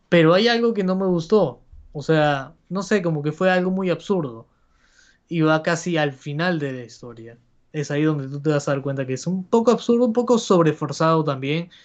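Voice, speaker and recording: A man with an unremarkable speaking voice talks at a fairly high pitch and a moderate pace. His intonation is lively, and the background is quiet. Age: 20s. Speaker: podcast co-host. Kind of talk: casual chat. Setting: livestream.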